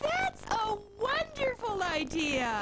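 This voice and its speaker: Over loud background noise, a woman uses a squeaky, put-on character voice at an extremely high pitch. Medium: cartoon. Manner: sweet, earnest.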